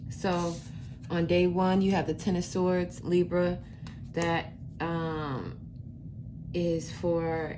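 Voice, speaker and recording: Amid audible room echo and noticeable background noise, a woman speaks very slowly in a fairly low, flat monotone. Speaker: tarot reader. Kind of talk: tarot reading. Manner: halting, many fillers.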